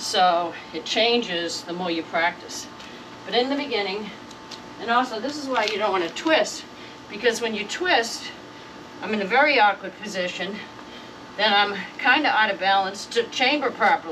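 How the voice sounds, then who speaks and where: The speaker uses lively intonation at a moderate pace, broken by long, frequent pauses. Noticeable background noise and audible room echo are present. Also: woman, fairly high pitch for a woman. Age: 70s. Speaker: martial arts instructor. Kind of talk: tutorial. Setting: outdoors. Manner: casual, conversational with hesitations.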